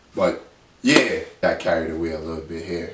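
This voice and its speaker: A man is speaking. Room echo can be heard on his voice. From Dominica. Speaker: sports YouTuber. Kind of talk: casual vlog monologue; casual vlog chat. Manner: halting with fillers. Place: home room. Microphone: phone near.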